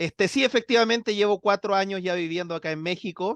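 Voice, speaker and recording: The speaker moves at a moderate pace with lively intonation. The sound is dry and close with no echo, over a quiet background. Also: man. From Chile. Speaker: science communicator. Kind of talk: interview.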